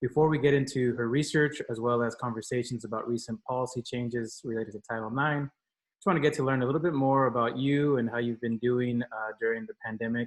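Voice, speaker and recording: Very fast and fairly even in intonation, a man speaks at a medium pitch. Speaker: podcast host and professor. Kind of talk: interview conversation. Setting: home recording space, remote call. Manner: loud, raises voice.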